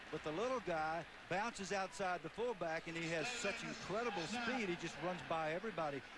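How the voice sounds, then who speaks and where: There is noticeable background noise as a man talks at a fairly quick pace. His pitch is high, with ordinary variation. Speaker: football color analyst. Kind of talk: live commentary.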